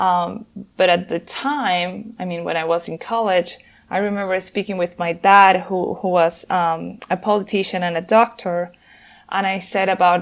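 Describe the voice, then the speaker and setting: Speaking with a Venezuelan accent, a woman talks at a moderate pace and medium pitch with fairly even intonation. The recording is very clean, with a silent background. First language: Spanish. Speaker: nonprofit founder and gender equality consultant. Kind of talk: interview. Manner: hesitant, many fillers and repeats.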